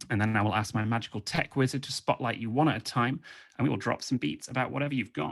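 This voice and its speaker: Speaking at a very fast pace with a British accent, a man keeps a medium pitch with ordinary variation and some vocal fry. The recording is very clean, the background silent. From England. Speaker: comedian and freestyle rapper. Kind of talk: stand-up. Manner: animated.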